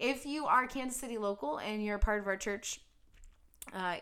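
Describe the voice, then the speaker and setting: A woman with an American accent talks at a moderate pace, her pitch fairly high. Her tone is bright and sharp, with ordinary pitch variation. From US Midwest (Cincinnati, Ohio). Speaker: pastor. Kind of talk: casual chat.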